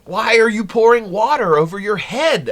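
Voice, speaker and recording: High-pitched put-on character voice from a man, moderately paced. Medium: read story.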